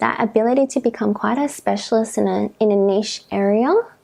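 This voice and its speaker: With an Australian accent, a woman speaks at a moderate pace in a dark, mellow tone. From Karratha, Western Australia. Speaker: registered psychologist. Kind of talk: interview answer.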